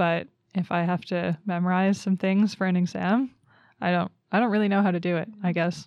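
A woman talks at a fairly quick pace in an ordinary speaking voice of medium pitch, against a quiet background. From Canada. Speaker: master's student in wildlife management. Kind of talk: casual interview.

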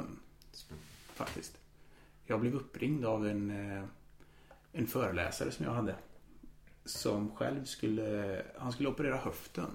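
A man speaks in a fairly low pitch, somewhat breathy, with long, frequent pauses. Audible room echo surrounds his voice. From Austria (Vienna) until 7, then Karlstad, Sweden. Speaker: law lecturer. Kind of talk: casual chat. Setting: home, on a sofa.

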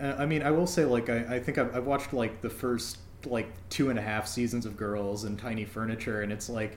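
Audible room echo surrounds a voice with an American accent, moving at a fairly quick pace with ordinary pitch variation. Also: man, medium pitch for a man. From Minnesota, US Midwest. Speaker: podcast host. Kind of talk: scripted intro; casual chat.

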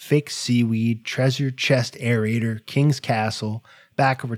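The speaker uses a natural reading voice. Intonation stays fairly even.

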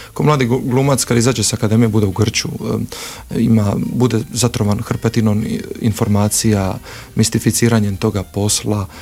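A man talks at a moderate pace and medium pitch. His loudness stays very even and his intonation fairly even. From Croatia, Split (Dalmatia). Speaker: actor and theatre director. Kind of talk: interview.

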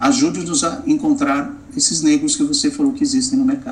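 Noticeable background noise runs behind speech delivered at a fairly quick pace. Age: 50s. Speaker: business executive and diversity consultant. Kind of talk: interview.

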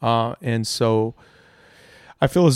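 On a very clean recording with a silent background and a dry, close sound with no echo, a man with an American accent uses an unremarkable speaking voice at medium pitch with ordinary pitch variation. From Irving, Texas (Dallas area). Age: 30s. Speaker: musician. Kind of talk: casual chat. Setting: home dining room, some echo.

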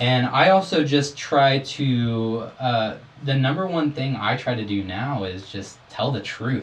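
Speaking with hardly any pauses, a man keeps a medium pitch and lively intonation. His voice is somewhat breathy. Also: fairly slow pace. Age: 20s. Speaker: window cleaner and church guitarist, host's younger brother. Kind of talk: casual chat; reading aloud.

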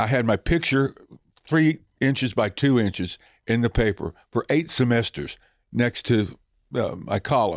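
A man with an American accent at a medium pitch, fairly slow pace and lively intonation, in very even loudness, with a dry, close sound with no echo and a very clean recording, silent background. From Oklahoma. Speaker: stand-up comedian. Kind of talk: casual interview. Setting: backstage.

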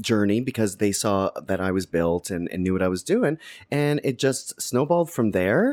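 The very clean recording has a silent background, with a man speaking in an ordinary speaking voice. He keeps a moderate pace and his intonation is lively. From Canada. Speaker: fitness expert, former dancer. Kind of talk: casual interview chat.

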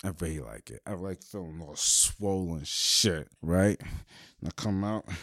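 Pitched fairly low, a man's voice rises and falls with ordinary variation. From New York, Brooklyn. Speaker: podcast host. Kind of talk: casual solo monologue. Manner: animated, laughing often.

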